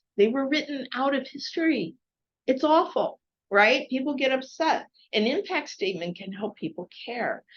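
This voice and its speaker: At a moderate pace, a woman talks in a high pitch that swings very widely. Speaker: workshop facilitator. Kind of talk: online workshop coaching.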